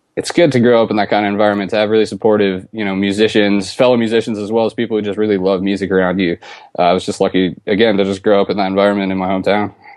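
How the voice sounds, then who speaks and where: A man with an American accent, fairly low in pitch, at a very fast pace with hardly any pauses and monotone, flat intonation. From New York State, Ithaca. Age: 30s. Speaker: drummer. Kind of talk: casual chat. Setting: video call.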